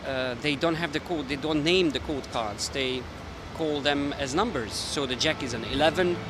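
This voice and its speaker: A man with a fairly high pitch speaks at a moderate pace. There is audible room echo and noticeable background noise. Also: ordinary pitch variation. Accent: Hungarian. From Hungary. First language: Hungarian. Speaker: magician and language video maker. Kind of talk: casual explainer talk. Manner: halting, many fillers.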